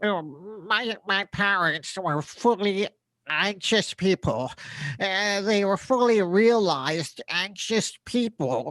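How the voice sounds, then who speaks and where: A cartoonish character voice, female-sounding, at a middle pitch and a fairly slow pace, in a very clean recording with a silent background. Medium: puppet. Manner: rambling, hesitant, repetitive.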